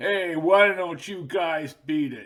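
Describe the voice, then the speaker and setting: A man puts on a character voice pitched high. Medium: read story. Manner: gruff.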